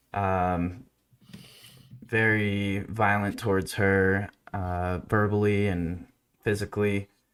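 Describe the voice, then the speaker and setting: Flat, monotone intonation comes in an American accent. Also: man. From US, moved from France at age four. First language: French. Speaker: recovery content creator. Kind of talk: podcast interview, personal story. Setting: studio.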